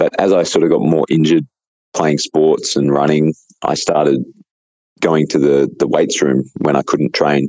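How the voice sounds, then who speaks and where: A man with an Australian accent speaks at a moderate pace. His loudness stays very even. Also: dry, close sound with no echo. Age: 30s. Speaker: natural bodybuilder and coach. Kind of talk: casual interview.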